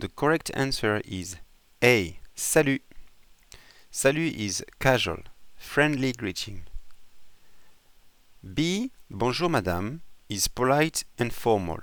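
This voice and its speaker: Very slow delivery with very wide pitch swings and long, frequent pauses. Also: man, medium pitch for a man. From France, Bordeaux. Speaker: language teacher. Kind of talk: tutorial.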